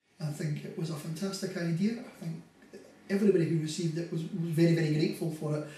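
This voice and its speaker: A man with a Scottish accent talks very fast at a high pitch and with fairly even intonation. There is audible room echo. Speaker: carer. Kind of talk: interview testimony. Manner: halting, many fillers.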